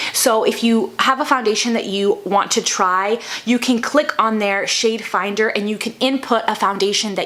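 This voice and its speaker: Noticeable background noise sits under a woman of medium pitch. She keeps a moderate pace with ordinary pitch variation. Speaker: beauty vlogger. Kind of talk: makeup tutorial. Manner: stumbling over words.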